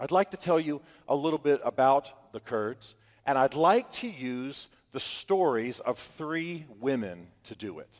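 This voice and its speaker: A man with an American accent speaks at a fairly high pitch, his tone animated and his intonation lively, with big swings in loudness and a dry, close sound with no echo. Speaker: author and speaker. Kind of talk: public talk to an audience. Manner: fast.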